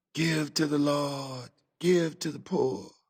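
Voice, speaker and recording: Soft-spoken and fairly slow, a man talks at a fairly high pitch with ordinary pitch variation. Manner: prayerful, murmuring.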